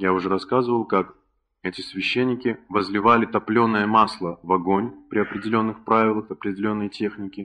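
A bright, sharp tone with fairly even intonation at a moderate pace. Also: man. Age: 30s. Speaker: spiritual lecturer. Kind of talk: lecture.

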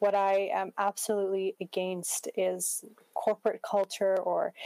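A woman's medium-pitched voice in a Canadian accent, monotone and flat, dry and close with no echo. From Canada, Prince George, British Columbia. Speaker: social activist. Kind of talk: interview conversation.

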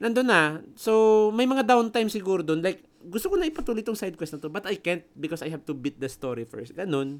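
Speaking at a very fast pace with hardly any pauses, a man uses a high pitch with very wide pitch swings. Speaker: gaming podcast co-host. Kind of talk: casual chat.

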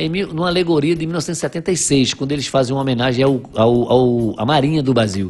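A man at a moderate pace in a medium pitch, ordinary pitch variation and hardly any pauses. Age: 50s. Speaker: businessman, writer and carnival enthusiast. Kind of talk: casual interview chat, storytelling. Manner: halting with repeated words.

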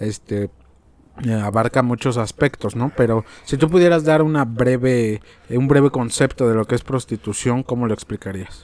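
A man with a normal speaking voice at medium pitch, moderate pace and ordinary pitch variation. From Mexico. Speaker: podcast host. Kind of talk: casual chat.

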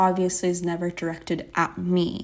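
An unremarkable speaking voice, this woman talks at a fairly slow pace with a medium pitch and an American accent on a very clean recording with a silent background. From Texas. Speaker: podcast co-host. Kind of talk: casual faith discussion.

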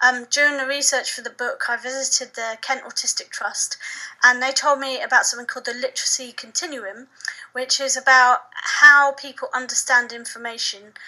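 Over noticeable background noise, a woman with a southern English accent uses a raised, projected voice, high in pitch and with fairly even intonation. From England, Suffolk. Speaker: author. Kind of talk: interview.

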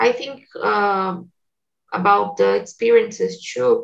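A woman speaks with a Portuguese accent. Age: 20s. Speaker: English teacher and community manager. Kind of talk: casual group conversation practice. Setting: video call.

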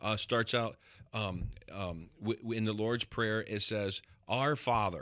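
Very slowly and with ordinary pitch variation, a man speaks in a fairly low pitch with a bright, sharp tone on a very clean recording with a silent background. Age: 50s. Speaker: pastor and podcast host. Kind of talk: casual chat.

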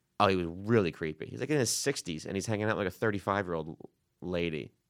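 Talking at a very fast pace with a strong New York accent, a man is heard in a very clean recording with a silent background. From New York City. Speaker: stand-up comedian. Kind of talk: casual chat. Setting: studio.

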